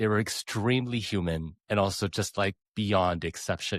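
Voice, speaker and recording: In a very clean recording with a silent background and a dry, close sound with no echo, a man with a Canadian accent and an unremarkable speaking voice talks at a moderate pace, with a fairly low pitch and ordinary pitch variation. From Canada. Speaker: podcast host and pianist. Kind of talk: interview.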